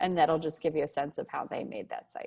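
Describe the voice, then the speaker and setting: A woman against a quiet background. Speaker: instructor. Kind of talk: lecture. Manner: animated. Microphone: video call.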